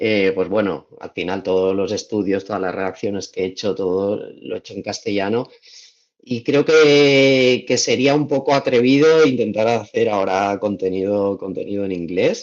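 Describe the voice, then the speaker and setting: Speaking at a moderate pace in a Valencian accent, a man uses a fairly low pitch with ordinary pitch variation. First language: Valencian (speaking Spanish). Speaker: travel content creator. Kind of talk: podcast interview. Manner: hesitant, many repetitions.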